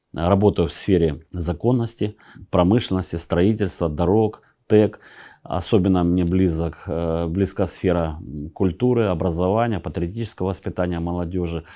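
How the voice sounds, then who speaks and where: Against a quiet background, a man with a very deep, low pitch and a dark, mellow tone speaks at a moderate pace, his intonation fairly even and broken by long, frequent pauses. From Russian Far East, Vladivostok; Russia. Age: 50s. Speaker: regional legislator and election candidate; election candidate, politician. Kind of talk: campaign statement to camera. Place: office. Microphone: lapel.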